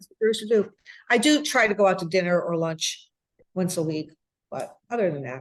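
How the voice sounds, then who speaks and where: Lively intonation and big swings in loudness mark this woman's medium-pitched voice. Her pace is fairly quick, broken by long, frequent pauses. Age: 60s. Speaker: restaurant owner. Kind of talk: interview. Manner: halting.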